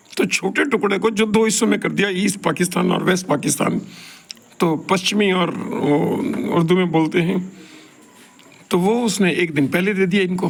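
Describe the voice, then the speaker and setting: A man speaks at a high pitch with ordinary pitch variation and very even loudness. Long, frequent pauses break up his speech over noticeable background noise. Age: 70s. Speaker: professor giving talks. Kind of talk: solo monologue talk. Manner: rambling conversational.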